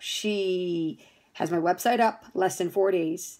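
A woman with an American accent speaks at a fairly slow pace with ordinary pitch variation against a quiet background. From New Jersey. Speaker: fitness studio owner. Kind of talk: testimonial. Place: home room. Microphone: phone near.

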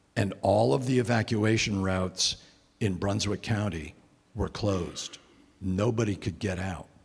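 At a fairly slow pace, a man with an American accent speaks in a fairly low pitch, his voice somewhat breathy. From Connecticut, US. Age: 60s. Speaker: environmentalist giving a talk; guest. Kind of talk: lecture to a church men's group. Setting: church meeting room with audience. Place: church. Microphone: handheld.

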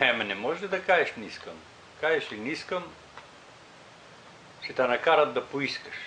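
Over light background noise, a man with an unremarkable speaking voice and a fairly high pitch talks at a moderate pace with lively intonation and big swings in loudness. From Pirin region, Bulgaria. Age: 60s. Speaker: interviewee. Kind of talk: interview answer. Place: home room. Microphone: camera far.

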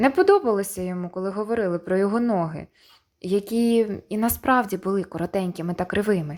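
The pitch rises and falls in an ordinary way. It is plain reading aloud.

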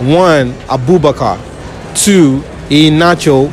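The sound is dry, with no echo, and music sits in the background. The pitch varies in an ordinary way. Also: man. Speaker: street quiz host. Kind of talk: public interview quiz. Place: market.

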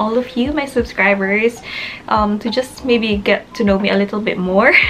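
A woman with a Filipino accent and fairly high pitch, over light background noise. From Philippines. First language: Tagalog. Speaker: nurse and vlogger. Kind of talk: casual vlog monologue to camera. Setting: video recorded for YouTube, in the UK. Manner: animated, chatty, laughs often. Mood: warm, smiling, reflective. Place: home room. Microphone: phone near.

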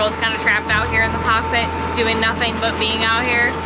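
There is loud background noise. A woman talks through it. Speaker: sailing vlogger. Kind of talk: casual vlog chat. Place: boat. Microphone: phone near.

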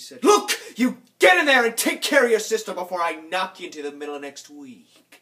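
A man's high-pitched, raised, projected voice at a fairly quick pace, animated and nervous in tone, with very wide pitch swings and big swings in loudness. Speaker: actor performing a monologue. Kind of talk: theatrical monologue performance, in character, confessional and darkly comic. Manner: animated, voicing his mother's and his own lines in quoted dialogue. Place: home room.

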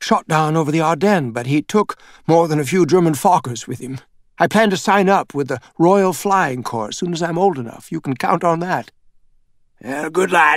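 In a normal speaking voice, a man talks at a fairly high pitch and a moderate pace with lively intonation, on a very clean recording with a silent background and a dry, close sound with no echo. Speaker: audiobook narrator. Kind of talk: audiobook narration. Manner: expressive storytelling, shifting into character voices for dialogue.

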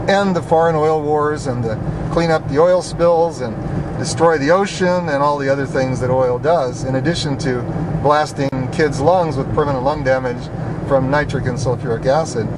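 A man talks at a moderate pace. Loud background noise fills the dry, echo-free sound. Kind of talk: casual commentary while driving. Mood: indignant, persuasive. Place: car. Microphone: camera far.

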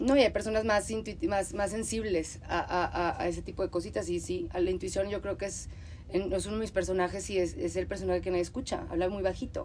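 Speaking very fast, the woman can be heard over noticeable background noise. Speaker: podcast host. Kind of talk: casual chat.

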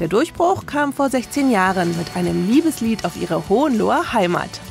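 Music plays behind a woman whose fairly high voice swings very widely in pitch. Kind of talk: TV documentary narration.

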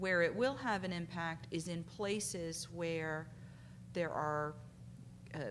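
Vocal fry runs through this voice. It moves at a moderate pace with light background noise. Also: woman. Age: 40s. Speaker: civil rights lawyer. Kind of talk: conference panel talk. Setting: stage with audience. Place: hall. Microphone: podium.

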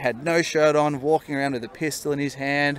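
A man with an Australian accent, fairly high pitch and fairly even intonation at a very fast pace, in a dry recording with no echo and light background noise. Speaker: solo traveller. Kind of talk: interview answer. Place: street. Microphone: handheld.

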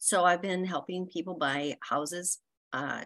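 A woman talks in a plain, everyday voice at a medium pitch. The background is quiet. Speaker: network member. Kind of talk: casual chat. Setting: video call. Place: home room. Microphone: video call.

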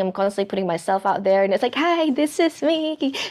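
Against a quiet background, a woman talks at a fairly quick pace with very wide pitch swings. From Philippines. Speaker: music teacher. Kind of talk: interview. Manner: animated. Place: home room. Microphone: lapel.

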